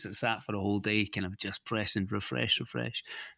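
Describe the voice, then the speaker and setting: With a bright, sharp tone, the speaker talks at a very fast pace in a Scottish accent over a quiet background. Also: man. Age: 40s. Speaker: podcast host. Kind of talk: casual chat.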